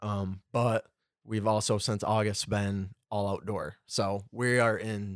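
In an Upper Midwest accent, a man speaks at a fairly slow pace with a fairly low pitch and monotone, flat intonation. The very clean recording has a silent background and a dry, close sound with no echo. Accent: Upper Midwest American. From Michigan, Clare. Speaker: teacher and football coach. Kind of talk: casual chat.

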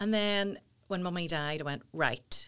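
This is a woman speaking with a Northern Irish accent. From Northern Ireland, Portadown. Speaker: talent agency founder. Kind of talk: interview. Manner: animated.

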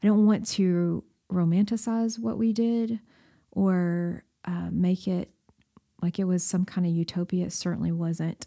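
In a Southern US accent, a woman speaks at a fairly slow pace and medium pitch, her dark, mellow tone and fairly even intonation captured in a dry, close sound with no echo. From Tennessee, Baxter. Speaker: church missions director, former missionary. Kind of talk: interview storytelling.

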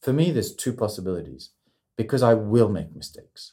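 A man with a French accent talks at a very fast pace with lively intonation, a dark, mellow tone and a somewhat breathy quality. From French, raised in New Zealand, South Korea, Morocco, Australia. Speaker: communication consultant. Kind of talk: casual interview. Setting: studio in Sydney. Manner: halting, many repeats.

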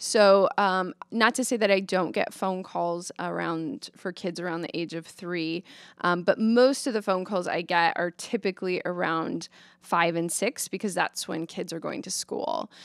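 An unremarkable speaking voice with an American accent, fairly slow pace, ordinary pitch variation, and a very clean, dry, close recording with a silent background and no echo. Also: woman, medium pitch for a woman. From Nebraska, Omaha. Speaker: psychotherapist. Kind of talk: interview conversation.

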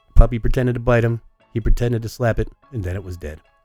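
A man rattles along very fast in a put-on character voice with faint music in the background. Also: medium pitch for a man. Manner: dim, cartoonish.

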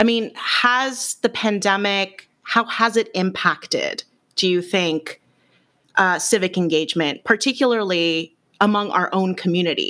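A woman with an American accent speaks at a fairly slow pace in a bright, sharp tone, at medium pitch with ordinary pitch variation and very even loudness. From US West Coast, San Francisco Bay Area. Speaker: podcast host. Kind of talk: casual interview chat.

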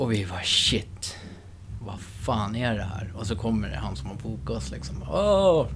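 A man with a very deep, low pitch and very wide pitch swings speaks at a fairly slow pace, heard with audible room echo. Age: 30s. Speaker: rock musician. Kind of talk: casual interview. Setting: in person in Enköping.

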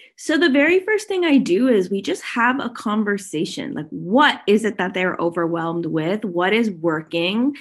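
A woman with a Canadian accent speaks at a moderate pace. Her pitch swings very widely, and she hardly pauses. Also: medium pitch for a woman. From Canada, Toronto. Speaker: digital marketing strategist and sales mentor. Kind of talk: podcast interview.

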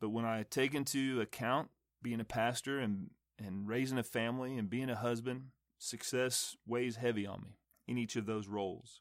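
Fairly even intonation and a medium pace mark an unremarkable speaking voice. The background is silent on a very clean recording. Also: man, medium pitch for a man. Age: 40s. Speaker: podcast host, pastor and Air Force veteran. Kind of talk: motivational talk.

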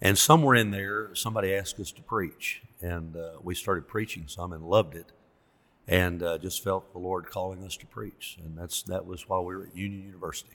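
Very deep and low, this man's voice carries a Southern US accent at a fairly quick pace with fairly even intonation. The recording is very clean, and the background is silent. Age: 60s. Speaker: pastor. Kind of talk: casual interview.

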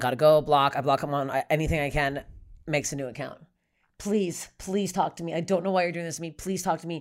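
On a very clean recording with a silent background, a woman with a Canadian accent talks at a very fast pace, her pitch very deep and low with ordinary variation. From Canada. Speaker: stand-up comedian. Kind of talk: casual chat.

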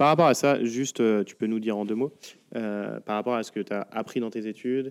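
Using a plain, everyday voice, a man speaks at a moderate pace in a fairly low pitch with fairly even intonation. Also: dry, close sound with no echo. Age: 30s. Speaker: podcast host. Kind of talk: interview. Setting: in a shop.

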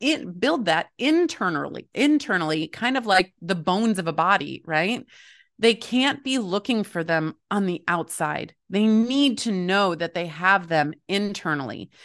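A woman uses a plain, everyday voice at a medium pitch. She speaks fairly slowly with lively intonation against a quiet background. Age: 40s. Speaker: author and family coach. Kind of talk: casual interview.

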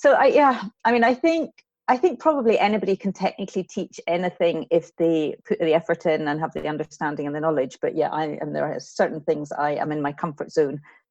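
A woman with a Scottish accent, fairly low in pitch, at a fairly quick pace with lively intonation. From west of Scotland. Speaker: veterinary lecturer. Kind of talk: casual interview.

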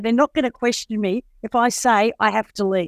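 Recorded with a dry, close sound and no echo, a woman speaks at a fairly high pitch with ordinary pitch variation. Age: 50s. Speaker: person in addiction recovery. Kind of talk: casual chat.

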